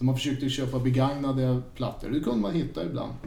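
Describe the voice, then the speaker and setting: There's audible room echo around this man's medium-pitched voice. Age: 50s. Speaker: record collector and harmonica player in a tribute band. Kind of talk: casual chat.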